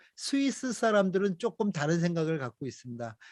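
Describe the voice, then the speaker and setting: A man's high-pitched voice, dry and close with no echo, over a quiet background. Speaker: missionary lecturer. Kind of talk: lecture. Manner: many fillers (어, 아, 에); may speed up.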